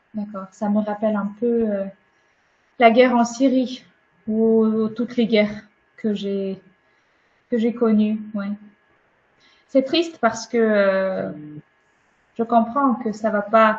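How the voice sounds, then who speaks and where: Her voice is fairly high and somewhat breathy, with fairly even intonation. The woman speaks at a very slow pace, leaving long, frequent pauses. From Ukraine. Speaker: webinar speaker sharing her experience. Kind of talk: webinar talk and discussion.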